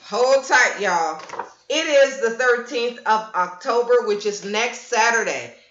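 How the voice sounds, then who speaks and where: In a room with audible echo, a woman talks at a fairly slow pace with ordinary pitch variation. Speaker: livestream host and event organizer. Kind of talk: casual livestream chat. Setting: live stream. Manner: animated.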